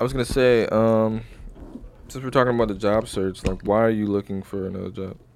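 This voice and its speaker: This man has an unremarkable speaking voice, fairly low in pitch, with fairly even intonation and a fairly quick pace. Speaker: podcast host. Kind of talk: casual chat.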